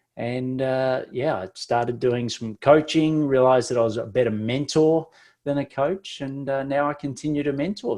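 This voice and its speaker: A man with an Australian accent at fairly high pitch, ordinary pitch variation, a moderate pace and hardly any pauses, against a quiet background. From Australia, Victoria bush. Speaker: business mentor. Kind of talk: podcast interview. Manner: talkative, many fillers.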